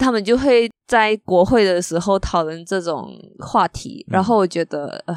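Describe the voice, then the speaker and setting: A woman speaks at medium pitch and moderate pace with lively intonation. The recording is very clean with a silent background, and the sound is dry and close with no echo. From Malaysia. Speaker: architecture magazine editor. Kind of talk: casual interview chat.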